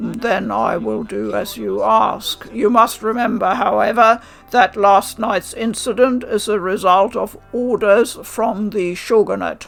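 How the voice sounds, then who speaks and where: Over faint music in the background, a woman in a put-on character voice speaks fairly slowly at a medium pitch. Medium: read story. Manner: warm, measured.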